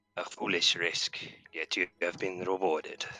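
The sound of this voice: Very deep, low pitch in a man's put-on character voice. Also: moderate pace.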